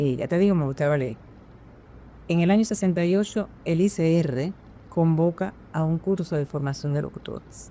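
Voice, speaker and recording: A woman talks in an ordinary speaking voice at a fairly low pitch. Her pitch variation is ordinary. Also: moderate pace. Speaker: veteran radio announcer, national radio prize winner. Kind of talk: interview answer, personal recollection.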